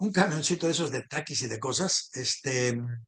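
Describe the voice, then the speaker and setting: A man's fairly slow speech with lively intonation. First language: a minority language, not Spanish (speaking Spanish). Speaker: political talk show host. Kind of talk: casual political discussion.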